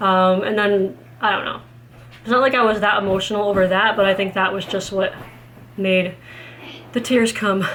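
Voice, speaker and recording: With long, frequent pauses, a woman speaks at a medium pitch with fairly even intonation, and audible room echo surrounds her voice. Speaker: mom vlogger. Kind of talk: casual vlog monologue. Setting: at home with kids. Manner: fast.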